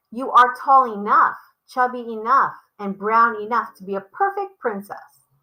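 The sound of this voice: A woman's put-on character voice, fairly high-pitched, bright and sharp, with lively intonation at a fairly slow pace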